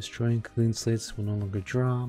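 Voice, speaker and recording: With music in the background, a man speaks in a monotone, flat intonation. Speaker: game streamer. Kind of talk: casual patch notes commentary. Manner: mumbling.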